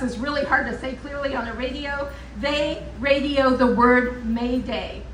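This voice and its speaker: Loud and high-pitched, a woman speaks at a fairly slow pace with audible room echo. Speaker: professor at political rally. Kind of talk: rally speech.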